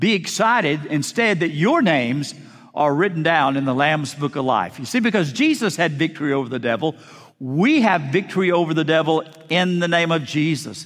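An ordinary speaking voice from a man, fairly high in pitch, with lively intonation at a moderate pace. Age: 60s. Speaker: pastor. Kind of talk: sermon. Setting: church.

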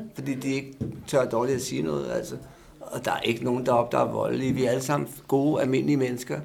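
Noticeable background noise is present. A man speaks at a very fast pace. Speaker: drug user, heroin treatment patient. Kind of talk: interview, discussion.

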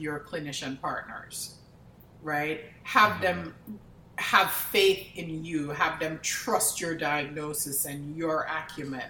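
A woman with a fairly low pitch, plus audible room echo and noticeable background noise. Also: big swings in loudness. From Jamaica. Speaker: pathologist. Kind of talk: interview.

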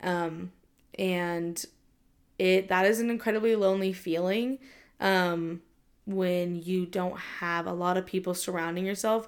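A woman with a Californian accent speaks at a fairly slow pace, with fairly even intonation and long, frequent pauses. The recording is very clean, with a silent background. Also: medium pitch for a woman. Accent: Californian American English. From Southern California. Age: 20s. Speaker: podcast host. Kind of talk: casual solo talk. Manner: casual, many fillers (um, like).

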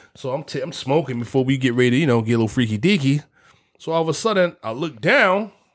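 Lively intonation carries speech delivered very quickly. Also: man, fairly high pitch for a man. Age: 40s. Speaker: podcast co-host. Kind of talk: casual chat.

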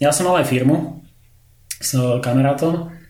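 The room echo is audible. Noticeable background noise sits behind the voice. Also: man. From Slovakia. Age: 30s. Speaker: visual effects compositor. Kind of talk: casual interview chat. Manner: halting, many fillers.

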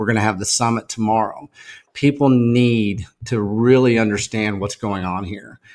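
The speaker is a man with a Texan accent. He goes at a moderate pace. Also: medium pitch for a man. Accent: Texan American. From Texas, small town. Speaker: food activist, organization founder. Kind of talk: podcast interview. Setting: in-person, at a farm table. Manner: animated.

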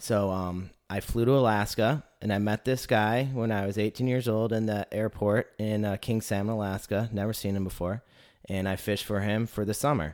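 In an ordinary speaking voice, a man with an American accent talks at a moderate pace, his fairly low pitch held to fairly even intonation. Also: very clean recording, silent background. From Northern Michigan. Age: 30s. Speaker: podcast host. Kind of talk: interview.

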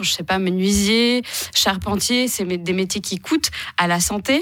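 Here a woman speaks at a medium pitch with ordinary pitch variation. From Switzerland, Geneva. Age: 30s. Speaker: political candidate. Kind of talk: radio interview. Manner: halting.

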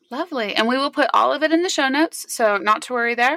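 A woman with a high pitch speaks fairly quickly in a raised, projected voice, her tone bright and sharp and her pitch varying in an ordinary way. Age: 40s. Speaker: podcast host and business consultant. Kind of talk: interview.

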